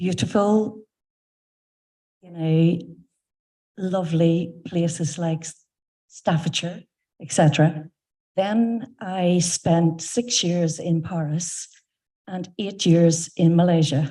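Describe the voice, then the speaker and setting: Speaking with a Northern Irish accent, a woman uses a fairly low pitch and a dark, mellow, somewhat breathy tone. Her intonation is fairly even, her pace very slow, with long, frequent pauses. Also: big swings in loudness. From Northern Ireland. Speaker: audience questioner. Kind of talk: audience question.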